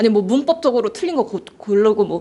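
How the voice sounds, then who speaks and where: Fairly high in pitch yet dark and mellow in tone, a woman talks at a fairly quick pace with lively intonation. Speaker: cram school English teacher. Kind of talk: admissions information session for parents. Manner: fast.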